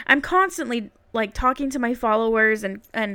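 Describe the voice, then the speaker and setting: A woman with an American accent and fairly high pitch speaks in a bright, sharp tone at a moderate pace. Her recording is very clean, the background silent. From Utah. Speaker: podcast host. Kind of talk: casual monologue.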